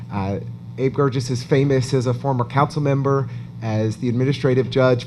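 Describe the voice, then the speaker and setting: At a moderate pace and medium pitch, a man speaks with fairly even intonation in a room with audible echo. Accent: American. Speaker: event interviewer. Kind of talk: on-stage interview at an awards event.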